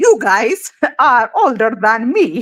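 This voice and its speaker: A woman speaks with an Ethiopian accent. Her high voice swings very widely in pitch. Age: 40s. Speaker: feminist commentator. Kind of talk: heated debate. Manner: halting, many fillers.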